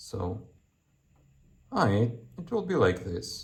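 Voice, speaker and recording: Speaking with a non-native accent, a man talks at a fairly slow pace in a somewhat breathy voice. Room echo is audible. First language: not English. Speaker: engineer and maker youtuber. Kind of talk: tutorial. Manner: halting, many fillers and repeats.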